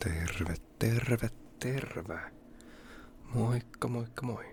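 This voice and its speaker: Relaxed, somewhat breathy male speech with ordinary pitch variation. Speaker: ASMR creator. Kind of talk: ASMR whispering and casual talk. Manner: relaxed, unhurried.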